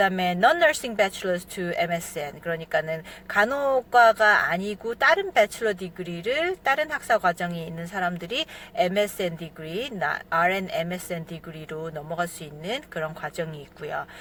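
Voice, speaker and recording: A woman with a medium pitch speaks at a moderate pace with hardly any pauses. Her intonation is lively, and her loudness swings widely. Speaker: nurse practitioner. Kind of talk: informational vlog talk. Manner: hesitant with many fillers.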